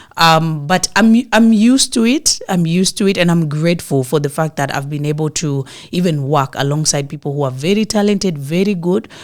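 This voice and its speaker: Woman's voice in a Kenyan coastal accent, fairly low in pitch, with lively intonation, a fairly quick pace and hardly any pauses. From Kenyan coast, Mombasa. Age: 30s. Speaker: actress. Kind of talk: interview.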